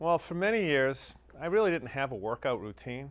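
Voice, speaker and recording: A plain, everyday voice with an American accent moves at a moderate pace with lively intonation. The recording is very clean, with a silent background. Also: man. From US Northeast, Massachusetts North Shore. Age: 50s. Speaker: fitness client giving a testimonial. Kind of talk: testimony.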